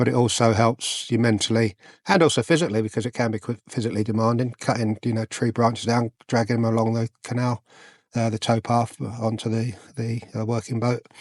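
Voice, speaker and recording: In an English accent, a man talks at a fairly quick pace with monotone, flat intonation. The sound is dry and close with no echo, and the background is quiet. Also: medium pitch for a man. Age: 60s. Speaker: vlogger, retired soldier and police officer. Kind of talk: casual vlog talk. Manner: hesitant, many fillers.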